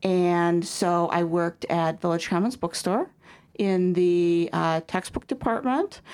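On a very clean recording with a silent background, a woman with a Midwestern American accent speaks at a fairly slow pace, her pitch fairly low and her pitch variation ordinary. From US Midwest, DeKalb, Illinois. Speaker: regional school superintendent. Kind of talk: interview. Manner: hesitant, many fillers.

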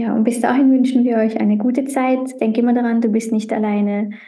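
A woman's somewhat breathy voice. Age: 30s. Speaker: podcast host. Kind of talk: casual chat.

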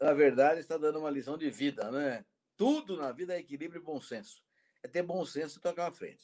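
Fairly quick and fairly high-pitched, a man speaks in a plain, everyday voice. His pitch variation is ordinary. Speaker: professor and interview host. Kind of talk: interview.

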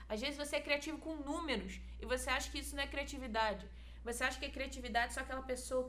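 A woman speaks amid noticeable background noise. Audible room echo surrounds her voice. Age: 20s. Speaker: church youth volunteer. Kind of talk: casual chat.

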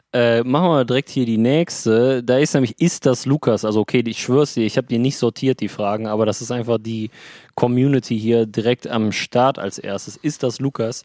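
Moderate pace, fairly even intonation, and a dry, close sound with no echo. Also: man, medium pitch for a man. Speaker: podcast co-host. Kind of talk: casual chat. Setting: remote call from beach on holiday.

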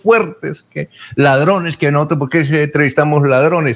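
Vocal fry runs through this man's fairly high voice as he speaks at a moderate pace. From Colombia, Santander (Barichara). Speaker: radio host. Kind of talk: radio interview.

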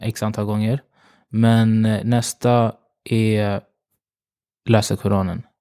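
A man's medium-pitched voice with a dark, mellow tone at a very slow pace, dry and close with no echo, on a very clean recording with a silent background. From Uganda. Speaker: fashion influencer and marketing consultant. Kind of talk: interview. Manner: hesitant with many fillers.

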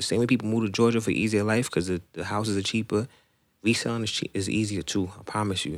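Ordinary pitch variation marks the speech of a man with an American accent. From Queens, New York City (Rosedale). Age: 20s. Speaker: sneaker reseller. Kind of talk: casual chat.

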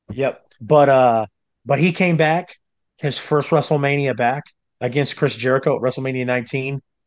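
A man speaks in an unremarkable speaking voice, fairly high in pitch, with fairly even intonation. His pace is moderate and the background is quiet. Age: 30s. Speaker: wrestling commentator. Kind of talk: casual chat.

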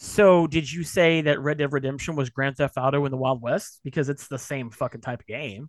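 A normal speaking voice at a fairly quick pace against a quiet background. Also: man. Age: 30s. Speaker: gaming podcast host. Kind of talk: casual chat.

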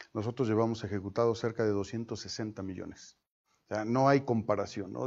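This man has a normal speaking voice at a medium pitch and talks at a moderate pace. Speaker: mayor running for reelection. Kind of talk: interview.

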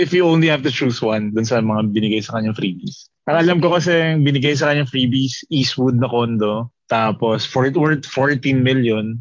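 A man speaks with a normal speaking voice at a medium pitch. His loudness stays very even and his pitch varies in an ordinary way. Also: fairly quick pace. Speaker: podcast co-host. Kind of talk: casual chat.

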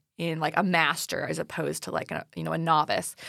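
A woman's bright, sharp tone carries vocal fry. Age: 20s. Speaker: teacher, podcast co-host. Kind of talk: casual chat.

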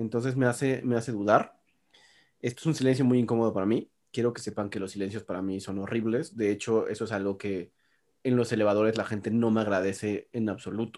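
Speaking very fast at a medium pitch, a man keeps his intonation fairly even in a very clean recording with a silent background. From Mexico City. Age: 30s. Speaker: podcast co-host. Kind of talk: casual chat. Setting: apartment home recording.

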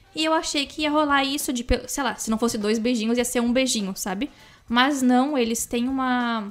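A woman's high-pitched voice at a moderate pace with ordinary pitch variation. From interior of São Paulo state, Brazil. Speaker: podcast co-host. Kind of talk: casual chat.

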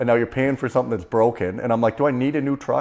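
This man has an ordinary speaking voice, medium in pitch with ordinary pitch variation, and a Canadian accent. The recording is very clean, with a silent background. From Canada, Prince George, British Columbia. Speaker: stand-up comedian, former pulp mill worker. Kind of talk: casual interview. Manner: casual, uses dude and man often.

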